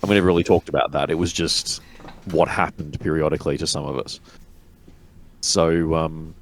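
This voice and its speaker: With long, frequent pauses yet a fairly quick pace, a man in an Australian accent speaks at a very deep, low pitch with fairly even intonation. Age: 40s. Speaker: tabletop wargamer. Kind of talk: casual chat.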